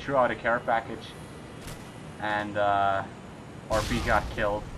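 A man speaks fairly slowly in a fairly low, monotone, flat voice over noticeable background noise. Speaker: video game commentator. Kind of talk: gameplay commentary. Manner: halting, hesitant with fillers.

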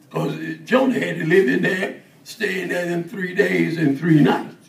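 A man talks at a moderate pace while room echo is audible around him. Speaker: preacher. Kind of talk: sermon. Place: church.

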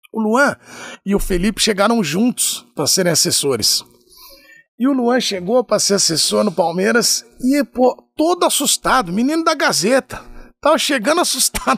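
In a quiet background with a dry, echo-free sound, a man with a high voice speaks at a moderate pace, his pitch swinging very widely while his loudness stays very even. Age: 40s. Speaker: sports reporter. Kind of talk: casual chat. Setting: studio. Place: studio. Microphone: studio mic.

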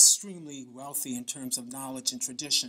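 A man's fairly high voice with a bright, sharp tone. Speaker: cultural researcher. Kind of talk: acceptance speech. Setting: stage with audience. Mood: warm, grateful. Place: hall. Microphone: podium.

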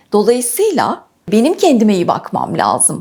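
Her voice high and her tone dark and mellow, a woman speaks at a fairly slow pace with very wide pitch swings. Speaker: patient sharing illness story. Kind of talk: interview testimony.

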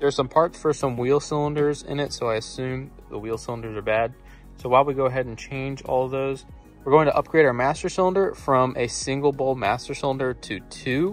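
A man talks at a fairly quick pace with ordinary pitch variation. Faint music plays behind the dry, echo-free sound. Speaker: car restoration vlogger. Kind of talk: casual vlog chat. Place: garage. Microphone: phone near.

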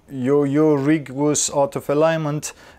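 A man's fairly high pitch with little pitch movement, a dark, mellow tone and a fairly slow pace

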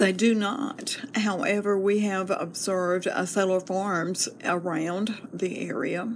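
A woman speaks very slowly at a medium pitch, with hardly any pauses. Noticeable background noise and audible room echo surround her. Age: 70s. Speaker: homeowner interviewee. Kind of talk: research interview.

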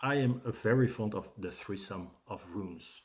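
With a Dutch accent, a man speaks in a somewhat breathy voice. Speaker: rune teacher and shaman. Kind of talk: tutorial with guided meditation. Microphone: webcam.

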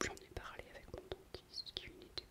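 A woman whispering. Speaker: natural-care vlogger. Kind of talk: casual vlog chat. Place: bathroom. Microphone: phone near.

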